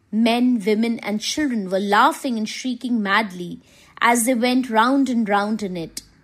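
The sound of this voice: The reading here is done in an unforced reading voice.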